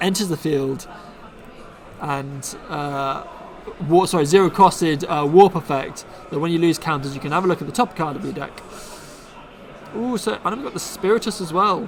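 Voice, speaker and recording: Speaking in a Bristol accent, a man has a high pitch with ordinary variation and a moderate pace. He leaves long, frequent pauses, and there is noticeable background noise. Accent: Bristolian English. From Bristol, England. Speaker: card game streamer. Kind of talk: live stream commentary. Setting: live stream.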